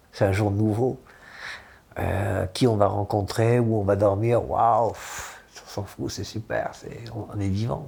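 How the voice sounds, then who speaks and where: Over noticeable background noise, a man with a fairly low pitch and fairly even intonation speaks with big swings in loudness. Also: moderate pace. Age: 70s. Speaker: former traveller. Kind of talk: interview testimony. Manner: halting, many repetitions.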